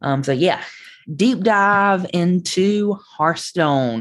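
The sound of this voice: A woman talks with a Southern US accent and lively intonation. The recording is very clean, with a silent background.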